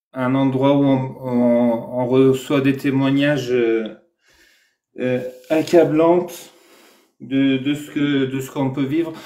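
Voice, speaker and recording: A man's medium-pitched voice at a very slow pace, with ordinary pitch variation and audible room echo. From Iran. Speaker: Iranian activist. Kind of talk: casual live discussion.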